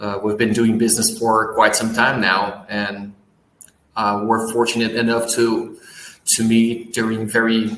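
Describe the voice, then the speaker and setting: In a Portuguese accent, a man of medium pitch speaks at a fairly slow pace, with audible room echo. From Brazil. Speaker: business owner, post-production company. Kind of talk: interview.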